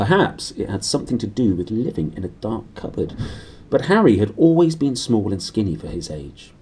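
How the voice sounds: This is a natural reading voice. The reading is delivered that way throughout.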